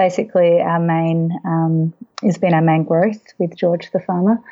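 A woman with an Australian accent speaks at a fairly slow pace and a fairly low pitch. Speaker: children's book author and agricultural educator. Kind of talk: interview.

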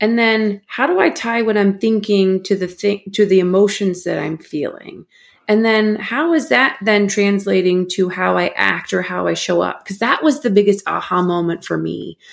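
A woman with an American accent and an unremarkable speaking voice, medium pitch, ordinary pitch variation, a moderate pace with hardly any pauses, on a very clean recording with a silent background. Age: 40s. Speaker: mental performance coach. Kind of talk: interview.

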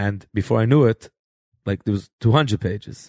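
Against a quiet background, a man with a fairly low pitch talks at a very fast pace, the sound dry and close with no echo. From New York (Flatbush, Borough Park). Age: young. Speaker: rabbi, author and choir director. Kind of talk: casual interview, storytelling.

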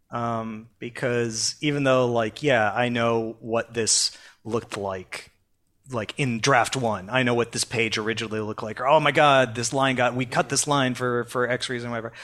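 A man speaks in a plain, everyday voice at a medium pitch and a moderate pace, with fairly even intonation. The recording is very clean, with a silent background. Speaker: publishing editor. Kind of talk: casual podcast roundtable discussion.

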